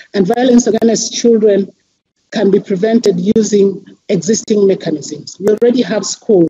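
Against a quiet background, a woman speaks at a moderate pace with very even loudness and fairly even intonation. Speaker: civil society representative; panelist. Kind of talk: reading a formal statement. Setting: video call. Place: office. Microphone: headset.

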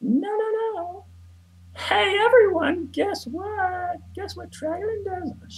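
This put-on character voice sits at an extremely high pitch and moves at a very slow pace. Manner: cocky, mocking.

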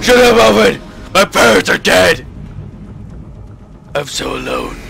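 Over clear background noise, a man performs a put-on character voice at a moderate pace. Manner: dramatic, loud, gravelly.

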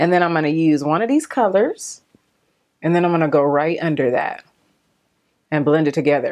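A woman talks at a fairly quick pace. Her pitch is fairly low, and the background is quiet. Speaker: beauty vlogger. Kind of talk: casual makeup tutorial chat. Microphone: phone near.

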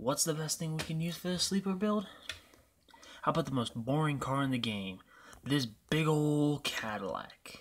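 A man's quiet voice has lively intonation. He talks at a moderate pace. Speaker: gaming youtuber. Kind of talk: gameplay commentary. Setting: home apartment at night. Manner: quiet, subdued. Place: home room.

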